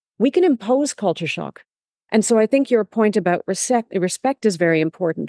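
A woman talks at a fairly quick pace with lively intonation and a dark, mellow tone. The sound is dry and close, with no echo. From Canada. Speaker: tourism and development strategist, author. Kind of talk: interview conversation.

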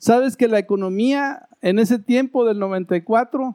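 Recorded with a dry, close sound and no echo, a man with a high pitch and a dark, mellow tone speaks very slowly with ordinary pitch variation. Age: 50s. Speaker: pastor. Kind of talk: sermon.

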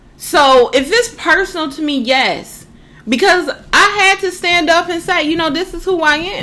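The voice is raised and projected, bright and sharp in tone, and moves at a moderate pace. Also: woman, extremely high pitch for a woman, ordinary pitch variation. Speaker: podcast co-host. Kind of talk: casual chat.

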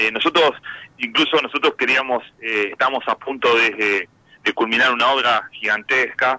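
A man's voice, dry and close with no echo. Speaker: football club director. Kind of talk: radio interview.

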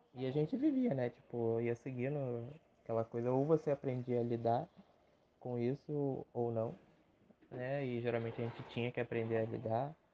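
This man speaks at a medium pitch. His intonation is flat and monotone. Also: moderate pace. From Rio de Janeiro, Brazil. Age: 20s. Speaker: podcaster. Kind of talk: casual solo podcast monologue. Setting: home recording. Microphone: phone mic.

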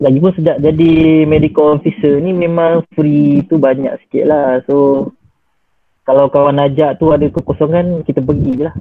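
Here a man with an ordinary speaking voice talks at a fairly slow pace and fairly high pitch, his intonation fairly even. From Malaysia, Johor Bahru. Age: 20s. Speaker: doctor. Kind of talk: casual interview.

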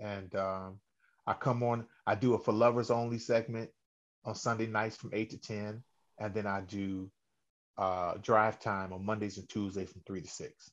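With an American accent and a plain, everyday voice, a man speaks at a fairly low pitch and moderate pace, his intonation fairly even but his loudness swinging widely against a quiet background. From Cleveland, Ohio. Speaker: singer and radio host. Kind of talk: interview.

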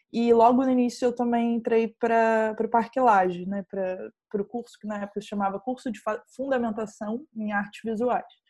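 A woman speaks with a fairly high pitch, a dark, mellow tone and fairly even intonation. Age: 20s. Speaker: filmmaker. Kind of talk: interview.

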